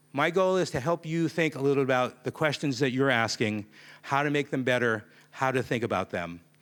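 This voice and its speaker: Speaking at a moderate pace with lively intonation, a man with a fairly high voice comes through on a very clean recording with a silent background. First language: not Japanese, speaks English. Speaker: conference keynote speaker. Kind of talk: keynote talk.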